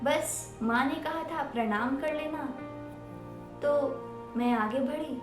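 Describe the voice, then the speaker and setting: A woman talks at a high pitch with fairly even intonation. Music plays in the background. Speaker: storyteller. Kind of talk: first-person storytelling narration, personal story.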